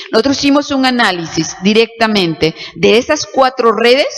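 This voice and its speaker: There is noticeable background noise. Over it, a woman speaks with lively intonation. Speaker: law professor. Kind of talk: lecture. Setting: auditorium with audience.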